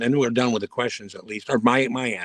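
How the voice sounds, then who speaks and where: Speaking at a fairly quick pace, a man has a medium pitch and an unremarkable speaking voice. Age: 60s. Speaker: guest on a live stream. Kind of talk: casual chat.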